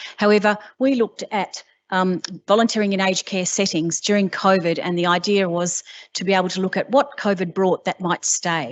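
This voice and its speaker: Here a woman speaks in an Australian accent at medium pitch. Her pace is fairly quick. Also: ordinary pitch variation. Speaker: university researcher. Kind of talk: conference presentation. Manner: fast.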